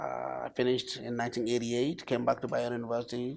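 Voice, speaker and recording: A man with a northern Nigerian accent and a medium pitch is heard on a very clean recording with a silent background. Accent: northern Nigerian (Hausa) English. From northern Nigeria, Kano. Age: 60s. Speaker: professor. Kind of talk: TV interview.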